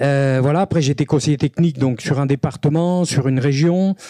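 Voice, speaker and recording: In a dry, close recording with no echo, a man with a dark, mellow tone speaks at a moderate pace and a fairly high pitch, with ordinary pitch variation. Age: 60s. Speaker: rugby referee trainer. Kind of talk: conference talk. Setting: stadium conference room with audience.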